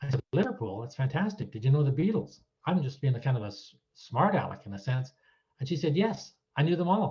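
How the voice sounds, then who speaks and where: Speaking at a fairly quick pace with a Canadian accent, a man with a fairly high pitch uses very wide pitch swings in a dark, mellow, somewhat breathy voice. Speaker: retired citizenship judge. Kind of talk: talk to an audience, anecdotes. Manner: casual, hesitant with fillers.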